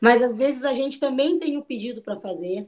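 High-pitched woman at a moderate pace, ordinary pitch variation, on a very clean recording with a silent background. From southern Brazil, Pelotas (Rio Grande do Sul). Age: 30s. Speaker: cook and entrepreneur. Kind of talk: interview testimony.

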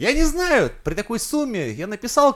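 Speaking at a moderate pace, a man with a high pitch uses an animated tone. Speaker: podcast co-host. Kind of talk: casual chat.

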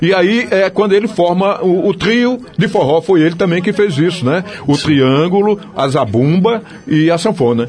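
Over noticeable background noise, a man talks at a moderate pace in a high voice, with lively intonation and very even loudness. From Paraíba, northeast Brazil. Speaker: journalist and culture researcher. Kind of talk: radio interview.

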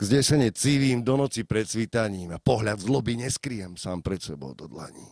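In a normal speaking voice, a man talks at a fairly low pitch with lively intonation and big swings in loudness, the sound dry and close with no echo. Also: moderate pace, hardly any pauses. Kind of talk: slam poetry performance. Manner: rhythmic, declamatory, dense wordplay delivery.

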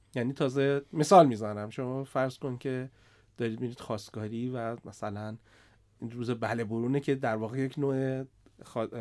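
A man talks in a normal speaking voice at medium pitch and a moderate pace. His intonation is fairly even, and the recording is very clean with a silent background. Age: 40s. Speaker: startup CEO and investor. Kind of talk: podcast interview.

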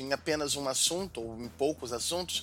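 A man has an unremarkable speaking voice, fairly high in pitch, with ordinary pitch variation. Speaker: podcast co-host. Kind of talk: casual chat.

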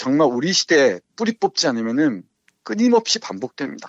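A man at a moderate pace. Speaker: literature professor and book reviewer. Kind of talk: book talk on radio-style podcast. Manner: halting, with many fillers.

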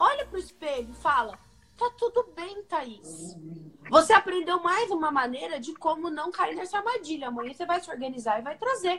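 At a moderate pace, a woman talks at an extremely high pitch, with very wide pitch swings and big swings in loudness. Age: 30s. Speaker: nutritionist. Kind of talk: casual chat.

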